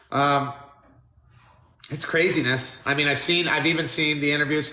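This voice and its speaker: A man speaks at a fairly high pitch and a moderate pace. Audible room echo surrounds the voice. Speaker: interview host. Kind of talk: casual interview.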